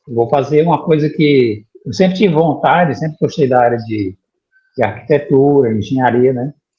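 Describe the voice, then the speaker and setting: A man's somewhat breathy voice, fairly high in pitch, with ordinary pitch variation at a moderate pace. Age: 50s. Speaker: 3D printing student, former bank IT worker. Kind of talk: interview. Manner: halting, with repetitions.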